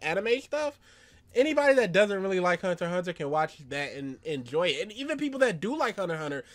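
Very fast speech comes from a man with a high voice. His pitch swings very widely.

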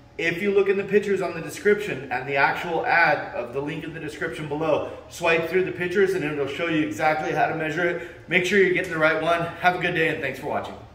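Speech rushes at a very fast pace. Room echo is audible. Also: man, high pitch for a man, ordinary pitch variation. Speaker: fitness equipment seller. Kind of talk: tutorial. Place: gym. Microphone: phone near.

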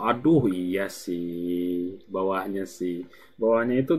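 A man is speaking. His intonation is lively. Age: 20s. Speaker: gaming streamer. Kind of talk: live gameplay stream chat. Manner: casual, rambling.

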